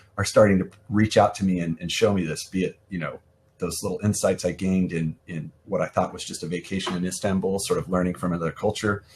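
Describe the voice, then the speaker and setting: Somewhat breathy, a man with an American accent talks at a fairly quick pace. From US Midwest. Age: 40s. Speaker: event art director and freelance designer. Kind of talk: podcast interview. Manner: halting, many fillers and repeats.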